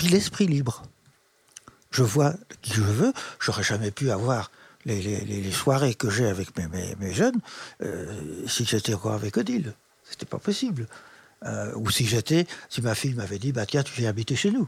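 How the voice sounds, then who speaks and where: The somewhat breathy voice moves at a moderate pace with lively intonation and long, frequent pauses. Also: man, medium pitch for a man. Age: 80s. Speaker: retired special educator. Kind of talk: interview. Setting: in his living room.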